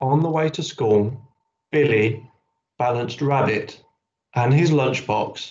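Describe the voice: The voice is plain reading aloud with ordinary pitch variation, set against a quiet background.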